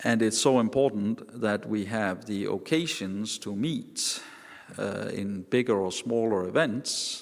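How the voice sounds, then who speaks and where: Very slow speech comes from a man with a Danish accent and a fairly low pitch. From Denmark. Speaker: professor. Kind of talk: panel talk. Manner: halting.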